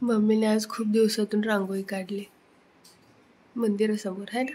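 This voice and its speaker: The intonation stays monotone and flat. Noticeable background noise can be heard. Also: woman, fairly high pitch for a woman. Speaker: vlogger. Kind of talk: casual vlog chat. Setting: at home during a family puja.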